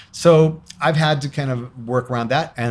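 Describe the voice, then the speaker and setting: A man with an American accent talks at a moderate pace, somewhat breathy, with ordinary pitch variation. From US Midwest (Cleveland, Ohio). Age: 60s. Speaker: guitarist and radio host. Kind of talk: interview conversation. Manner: hesitant, many fillers.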